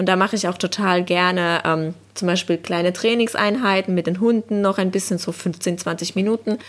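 A woman uses a normal speaking voice at a medium pitch with fairly even intonation, on a very clean recording with a silent background. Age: 30s. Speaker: social worker and dog owner. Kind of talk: casual interview chat.

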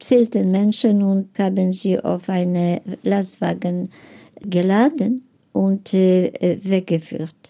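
A woman at a medium pitch with a non-native accent, dark, mellow tone and very slow pace. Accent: foreign accent in German. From Lviv, Galicia (then Poland, now Ukraine). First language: Polish (speaking German). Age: 80s+. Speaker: Holocaust survivor. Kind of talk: interview testimony. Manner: halting.

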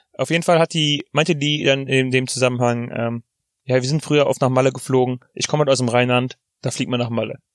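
Recorded with a dry, close sound and no echo, a man has a normal speaking voice, fairly even intonation, a fairly quick pace and medium pitch. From Rhineland, Germany. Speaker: podcast co-host. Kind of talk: casual chat. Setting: in a parked car.

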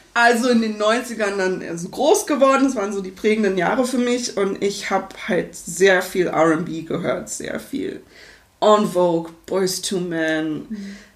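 Over audible room echo, a woman speaks at a very slow pace at medium pitch with ordinary pitch variation. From Berlin, Germany. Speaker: singer and vocal coach. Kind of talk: interview. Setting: home studio.

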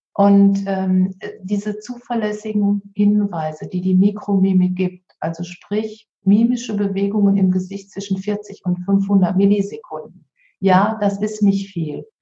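A woman talks very slowly at a medium pitch, her intonation flat and monotone. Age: 50s. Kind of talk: interview conversation.

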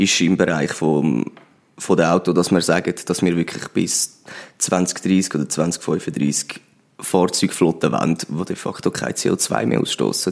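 The man's voice is very deep and low, with vocal fry. His pitch variation is ordinary. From Switzerland, Zurich Oberland. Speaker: political candidate. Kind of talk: interview.

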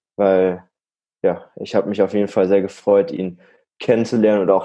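A man's fairly low voice, dark and mellow in tone, with fairly even intonation at a moderate pace. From Germany, Münsterland (Warendorf). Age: 20s. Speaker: deputy department head and trainer. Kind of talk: interview.

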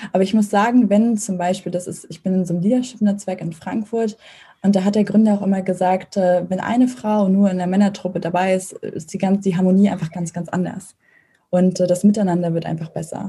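A somewhat breathy woman at a medium pitch, with fairly even intonation and a fairly quick pace. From northern Germany, Mecklenburg. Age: 20s. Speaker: startup founder. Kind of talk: interview. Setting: video call.

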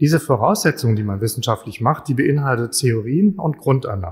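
On a very clean recording with a silent background, a man talks at a moderate pace. His medium-pitched voice is somewhat breathy. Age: 60s. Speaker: chemist and lecturer. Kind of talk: public lecture.

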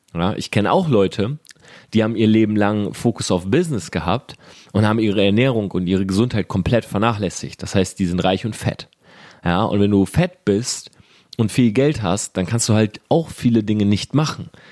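A man sounds animated at a fairly low pitch with ordinary pitch variation. His moderate pace comes through with a dry, close sound with no echo. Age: 30s. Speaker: entrepreneur and business podcast host. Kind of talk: motivational monologue.

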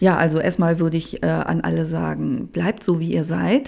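A woman is speaking. Her pace is moderate. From Germany, Upper Harz (Lower Saxony). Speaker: home cook and cooking YouTuber. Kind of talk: casual interview chat. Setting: studio.

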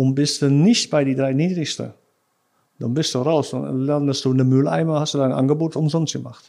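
A man speaks with a Dutch accent at a moderate pace. His fairly high voice has a dark, mellow tone and ordinary pitch variation. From Netherlands, Rotterdam area. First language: Dutch (speaking German). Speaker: sales engineer. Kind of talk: casual interview. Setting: office. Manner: halting.

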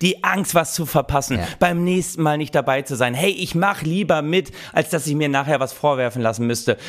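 Over noticeable background noise, a man with a fairly high voice speaks at a fairly quick pace with ordinary pitch variation. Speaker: podcast co-host. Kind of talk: satirical casual chat.

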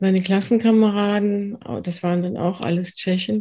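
In a dark, mellow tone, a woman speaks somewhat breathily with monotone, flat intonation. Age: 50s. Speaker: trauma therapist. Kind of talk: interview.

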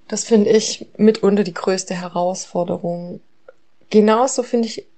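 Her tone is dark and mellow, with fairly even intonation. The woman speaks at a moderate pace. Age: 30s. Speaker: mother. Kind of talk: recorded monologue.

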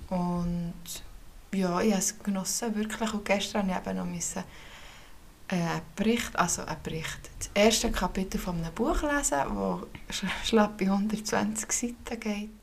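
A woman at medium pitch speaks at a moderate pace with ordinary pitch variation and long, frequent pauses, against noticeable background noise. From Switzerland, canton of Bern. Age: 30s. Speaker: podcast co-host. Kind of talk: casual chat.

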